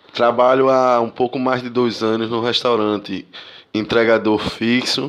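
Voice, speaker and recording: A man speaks at a medium pitch and a fairly slow pace. His intonation is monotone and flat, against a quiet background. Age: 30s. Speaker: delivery courier. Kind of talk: recorded testimony.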